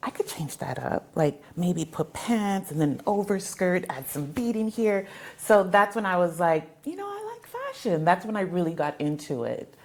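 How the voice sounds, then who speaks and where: With an American accent, a woman talks at a medium pitch and a moderate pace, with ordinary pitch variation, big swings in loudness, and noticeable background noise. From South Texas (Mercedes, border town). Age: 40s. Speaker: fabric store owner and fashion designer. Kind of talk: interview conversation.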